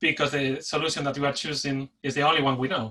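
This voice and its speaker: A man speaks in a Spanish accent. His tone is bright and sharp. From Spain. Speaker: delivery manager and agile coach. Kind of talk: conference talk. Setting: webinar. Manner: pauses for breath.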